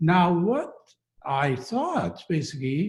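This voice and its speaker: Very slow in pace, this man's voice sits fairly high in pitch. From western Iran, Kurdish. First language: Kurdish. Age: 60s. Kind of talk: personal testimony in a talk. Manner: halting, many fillers.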